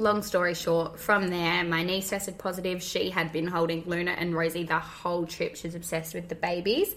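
A woman with an Australian accent talks at a fairly quick pace in a monotone, flat intonation. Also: fairly low pitch for a woman, hardly any pauses. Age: 20s. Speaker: podcast co-host, mother. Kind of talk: scripted intro; casual chat.

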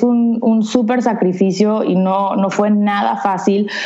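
A woman speaks at a very slow pace with fairly even intonation. Audible room echo and noticeable background noise fill the recording. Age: 30s. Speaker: entrepreneur. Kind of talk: interview.

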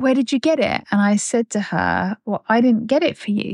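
A woman talks at a fairly slow pace, with a dry, close sound with no echo and a quiet background. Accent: British. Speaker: podcast host. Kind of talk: casual chat. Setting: room in Bulgaria.

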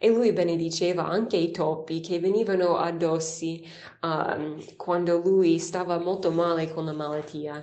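A woman with an English accent speaks at a fairly slow pace in monotone, flat intonation, with audible room echo and noticeable background noise. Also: fairly low pitch for a woman. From United States. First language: English (speaking Italian). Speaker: nun giving daily catechesis. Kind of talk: scripture reflection. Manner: some hesitations.

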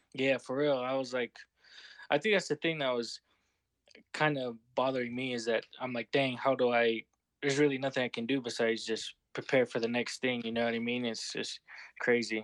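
A man with an American accent uses a normal speaking voice at medium pitch. He talks at a fairly quick pace with fairly even intonation. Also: dry, close sound with no echo. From Utah. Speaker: podcast guest. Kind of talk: casual chat.

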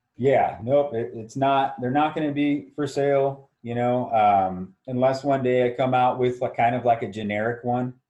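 A man in an American accent talks at a moderate pace and medium pitch. His intonation is fairly even, with hardly any pauses. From Southern California, Orange County. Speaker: military veteran and business owner. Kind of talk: casual chat.

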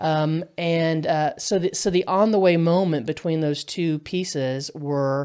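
Heard in a very clean recording with a silent background, a woman with a very deep, low pitch speaks at a fairly slow pace with ordinary pitch variation. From Kentucky. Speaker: Episcopal priest. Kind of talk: casual interview.

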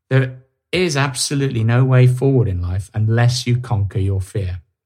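A man's medium-pitched, somewhat breathy voice with lively intonation. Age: 50s. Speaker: podcast host and author. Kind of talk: solo monologue podcast. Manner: some hesitations and stammering.

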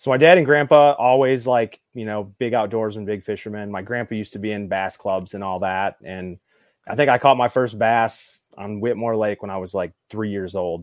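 With an American accent and an ordinary speaking voice, a man talks at a moderate pace and fairly low pitch, using ordinary pitch variation and big swings in loudness. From Southeast Michigan, US. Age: 30s. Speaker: bass fisherman. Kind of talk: casual chat.

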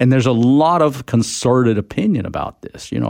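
A man with an American accent speaks in a normal speaking voice. His pace is fairly quick, and his pitch variation is ordinary. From expat childhood in France, American parents. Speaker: environmental advocacy leader. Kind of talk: radio interview.

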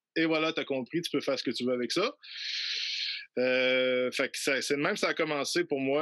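A man's fairly high-pitched voice with a bright, sharp tone, fairly slow pace and fairly even intonation, in a dry, close sound with no echo. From Quebec City, Quebec. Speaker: traditional musician. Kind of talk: interview. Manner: halting.

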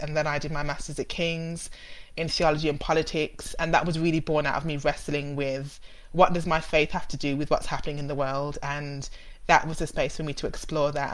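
A woman with a Birmingham accent speaks very fast in a very deep, low pitch with monotone, flat intonation. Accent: Brummie. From Birmingham, England. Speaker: theology researcher. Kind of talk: interview about theology.

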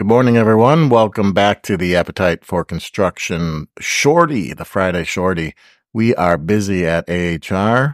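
Speaking in a normal speaking voice, a man keeps a fairly low pitch and fairly slow pace with lively intonation. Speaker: podcast host. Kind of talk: casual chat.

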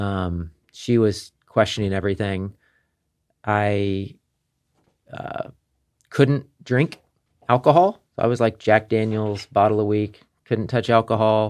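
In a very clean recording over a silent background, a man with a Midwestern American accent speaks at a fairly low pitch. His pace is very slow, his intonation fairly even, and his pauses long and frequent. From Kansas City. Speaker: wellness business owner. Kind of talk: casual chat.

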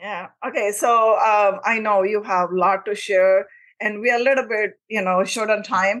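A woman with an ordinary speaking voice talks at a moderate pace. Her intonation is fairly even, and the background is quiet. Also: medium pitch for a woman. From immigrant to the US. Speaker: podcast host. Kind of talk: interview.

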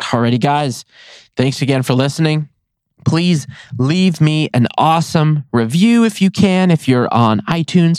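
A man with a fairly high pitch talks at a moderate pace with lively intonation. The recording is very clean and silent behind him, with a dry, close sound and no echo. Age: 30s. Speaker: podcast host, wildlife removal business owner. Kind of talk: solo casual talk. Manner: animated, frequent laughter.

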